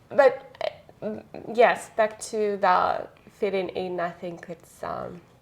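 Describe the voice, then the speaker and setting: A woman at a very slow pace, ordinary pitch variation, and noticeable background noise. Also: medium pitch for a woman. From Russia. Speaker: podcast host and actor. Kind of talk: casual interview chat. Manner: halting.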